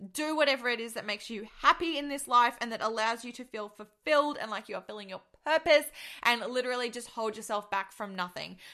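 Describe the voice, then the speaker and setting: Speaking at a very fast pace in an American accent, a woman with a high, bright, sharp voice sounds animated, with ordinary pitch variation and big swings in loudness. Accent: Australian, briefly slipping to American. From Australia. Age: 20s. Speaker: podcast host and business coach. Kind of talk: casual monologue.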